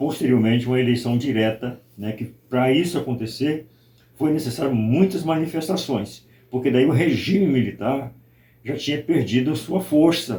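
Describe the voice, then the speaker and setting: A somewhat breathy man's voice, dark and mellow in tone, medium in pitch with ordinary pitch variation, at a moderate pace. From Brazil, Espírito Santo. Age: 60s. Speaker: pastor. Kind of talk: interview testimony.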